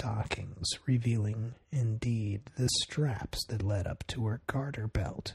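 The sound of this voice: The clip has an unforced reading voice.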